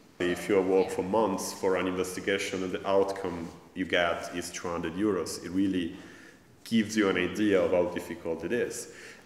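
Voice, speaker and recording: A man with an Italian accent and a very deep, low pitch, monotone, flat intonation and a moderate pace, with audible room echo and light background noise. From Italy. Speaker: academic and journalist, festival organizer. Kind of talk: panel discussion. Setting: stage with audience. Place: hall.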